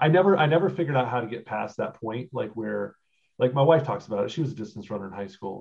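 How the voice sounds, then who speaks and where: Lively intonation and vocal fry mark this man's medium-pitched voice. He talks at a very fast pace. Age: 40s. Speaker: podcast co-host. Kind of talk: casual chat.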